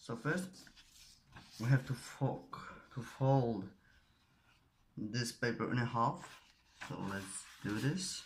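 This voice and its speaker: A man's very slow, somewhat breathy delivery with lively intonation and long, frequent pauses. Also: medium pitch for a man. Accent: Polish. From Poland. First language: Polish. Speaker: origami tutorial creator. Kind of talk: tutorial. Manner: halting, searching for words.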